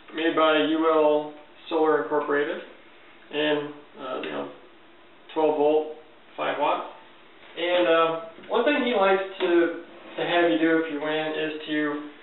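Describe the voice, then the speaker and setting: Long, frequent pauses break up a man's speech, heard with light background noise and audible room echo. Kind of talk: casual show-and-tell tutorial. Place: home room.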